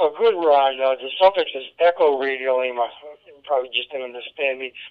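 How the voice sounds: Speaking at a fairly quick pace, a man with a New England accent keeps a medium pitch and fairly even intonation.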